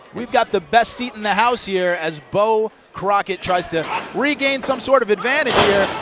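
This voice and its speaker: At a moderate pace, a man speaks in a high pitch with ordinary pitch variation. Noticeable noise sits in the background. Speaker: wrestling commentator. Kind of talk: play-by-play wrestling commentary.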